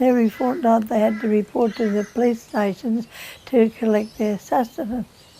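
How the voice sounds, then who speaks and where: Fairly even intonation marks this voice with an Australian accent, heard over noticeable background noise. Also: woman. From Queensland, Australia. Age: 80s+. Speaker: oral history interviewee. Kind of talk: reminiscence. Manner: halting.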